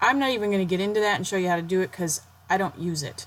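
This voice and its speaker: A woman's plain, everyday voice, fairly low in pitch, with ordinary pitch variation. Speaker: blogger making a tutorial. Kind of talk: tutorial. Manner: casual, self-deprecating.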